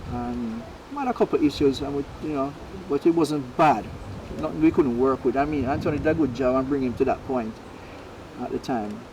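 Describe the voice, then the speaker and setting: With noticeable background noise behind him, a man at a fairly high pitch speaks at a fairly quick pace, broken by long, frequent pauses. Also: ordinary pitch variation. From Jamaica, Spanish Town. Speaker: racehorse trainer. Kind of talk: interview.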